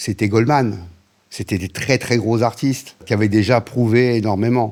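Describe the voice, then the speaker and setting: At a very slow pace, a man talks in a fairly low pitch with fairly even intonation, on a very clean recording with a silent background. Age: 60s. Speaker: radio programming director. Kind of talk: interview. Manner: fillers and repetitions.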